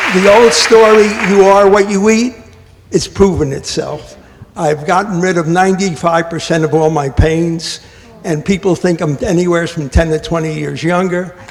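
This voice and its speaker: A man with a high voice and ordinary pitch variation talks at a moderate pace, noticeable noise in the background. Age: 80s+. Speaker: audience member. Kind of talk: audience question and comment. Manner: halting.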